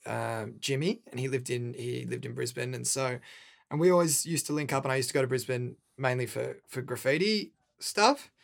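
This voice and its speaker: Someone with an Australian accent talks at a moderate pace with ordinary pitch variation. The recording is very clean, with a silent background. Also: man. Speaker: rapper. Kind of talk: casual interview. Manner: animated.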